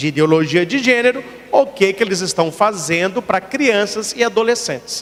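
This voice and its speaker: An animated, high-pitched male voice with lively intonation against noticeable background noise. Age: 40s. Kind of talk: sermon. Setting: church.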